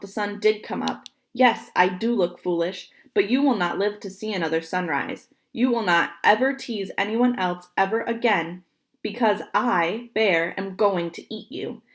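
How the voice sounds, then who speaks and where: In a put-on character voice, a female-sounding speaker growls at a medium pitch and a moderate pace, on a very clean recording with a silent background. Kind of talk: slow, menacing. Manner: growling, threatening.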